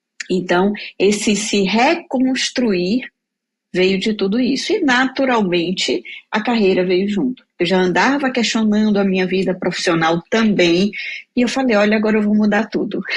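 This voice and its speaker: A woman speaks at a moderate pace and medium pitch in a somewhat breathy voice, with ordinary pitch variation and very even loudness. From Bahia, Brazil. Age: 40s. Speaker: career mentor, speaker. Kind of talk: interview testimony.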